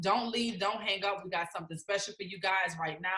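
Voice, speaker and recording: A woman's animated tone. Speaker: network marketing team leader hosting a live stream. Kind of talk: motivational live stream. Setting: video call. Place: home room. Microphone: webcam.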